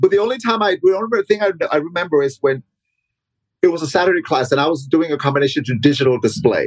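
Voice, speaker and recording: Speaking at a very fast pace, a man uses lively intonation at a fairly high pitch. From Mexico (Michoacan), raised in Los Angeles from age 9. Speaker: dancer and dance teacher. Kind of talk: casual interview conversation.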